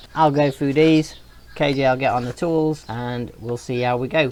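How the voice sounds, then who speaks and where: There is noticeable background noise behind this man. His intonation stays fairly even. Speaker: motorcycle vlogger. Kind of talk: tutorial. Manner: casual.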